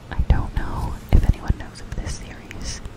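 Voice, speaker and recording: A whisper comes through at a fairly slow pace amid noticeable background noise. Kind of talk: casual talk to camera. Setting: close microphone ASMR recording. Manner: whispered, soft-spoken, rambling.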